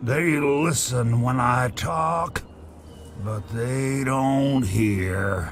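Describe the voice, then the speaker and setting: Over clear background noise, a man at medium pitch uses a put-on character voice at a very slow pace. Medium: video game. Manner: rambling, chuckling, friendly.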